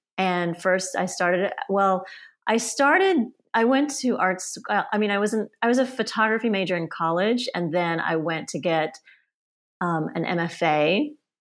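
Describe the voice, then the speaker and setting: In a very clean recording with a silent background, a woman speaks at a moderate pace and a medium pitch. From US South (Auburn, Alabama); born in Sweden to Polish parents. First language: Polish. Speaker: family photographer. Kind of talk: casual interview chat.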